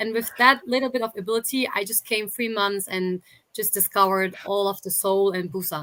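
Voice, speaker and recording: This woman talks at a fairly quick pace, her medium-pitched voice bright and sharp in tone. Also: ordinary pitch variation. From Germany, Berlin. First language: Turkish and German. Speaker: YouTuber. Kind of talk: interview.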